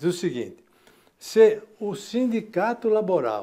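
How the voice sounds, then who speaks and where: Against a quiet background, a man speaks fairly slowly in a dark, mellow tone. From Brazil. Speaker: economics professor. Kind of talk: TV interview. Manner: explanatory. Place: office. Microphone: lapel.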